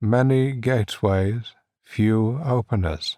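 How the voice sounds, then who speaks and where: Using a put-on character voice, a man talks at a fairly slow pace and a medium pitch. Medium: read story. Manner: calm, serene, riddling.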